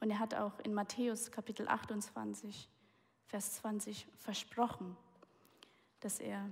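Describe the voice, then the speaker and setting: A woman's somewhat breathy voice. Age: 20s. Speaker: guest preacher. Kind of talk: sermon.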